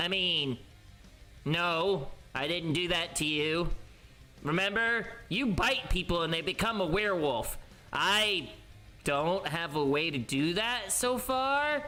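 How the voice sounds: This put-on character voice sits at a middle pitch and moves at a fairly slow pace. Long pauses come often.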